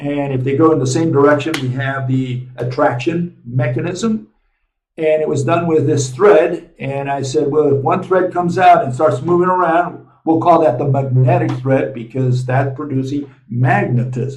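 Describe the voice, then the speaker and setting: Somewhat breathy and fairly high for a man, his voice moves at a moderate pace with ordinary pitch variation. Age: 70s. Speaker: physics lecturer and channel host. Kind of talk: lecture. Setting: on the road, traveling. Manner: casual, with many fillers. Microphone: small camera mic, sound may be poor.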